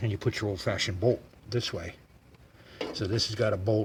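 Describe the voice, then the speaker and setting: A man's somewhat breathy voice, fairly low in pitch, with fairly even intonation at a moderate pace. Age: 70s. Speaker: vintage car mechanic, how-to video host. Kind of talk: casual explanation in the workshop. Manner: friendly.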